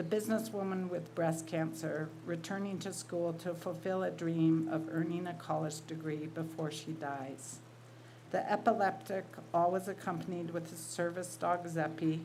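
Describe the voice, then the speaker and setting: A woman's somewhat breathy, dark and mellow voice at a fairly low pitch, with ordinary pitch variation, a moderate pace and audible room echo. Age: 60s. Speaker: writer and college teacher. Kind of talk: reading aloud.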